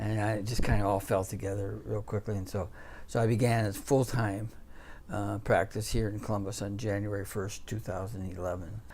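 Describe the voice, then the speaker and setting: A man with fairly low pitch and vocal fry speaks at a moderate pace with fairly even intonation. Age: 60s. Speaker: orthopedic surgeon. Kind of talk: interview. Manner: halting, many fillers.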